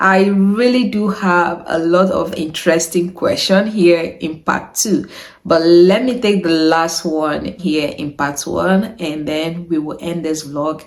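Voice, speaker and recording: A woman with a Niger Delta accent, fairly low pitch, ordinary pitch variation and a very slow pace. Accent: Nigerian Delta Igbo. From Nigeria, Delta State. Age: 30s. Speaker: YouTuber. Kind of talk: Q&A vlog.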